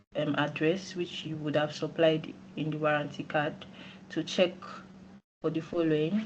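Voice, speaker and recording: A woman speaks in a very deep, low voice with flat, monotone intonation and long, frequent pauses. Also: moderate pace. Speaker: company executive. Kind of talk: training presentation. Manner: quiet.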